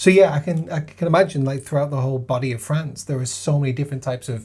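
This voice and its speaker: Speaking at a very fast pace, a man sounds somewhat breathy. His pitch is fairly high and his intonation fairly even. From Lancashire, northern England. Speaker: podcaster co-presenter. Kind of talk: casual tasting chat.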